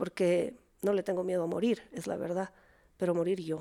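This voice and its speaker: A woman speaks at a fairly slow pace, her medium-pitched voice dark and mellow in tone. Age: 40s. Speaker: therapist. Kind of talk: casual chat.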